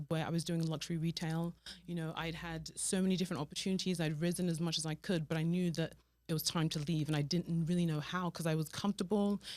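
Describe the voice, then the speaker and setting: A woman's fairly low voice, flat and monotone, at a very fast pace. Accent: British. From Nigeria, then raised in London. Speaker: fashion stylist, business owner. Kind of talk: interview.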